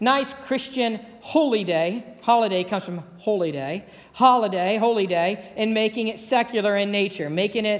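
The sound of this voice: With ordinary pitch variation, the clip presents an unforced reading voice.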